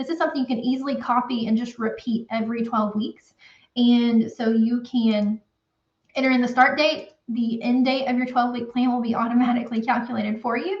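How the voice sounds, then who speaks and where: A woman with a Southern US accent, high pitch, fairly even intonation and a fairly quick pace. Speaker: accountant for construction businesses. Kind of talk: tutorial. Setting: live stream. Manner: casual, with many fillers.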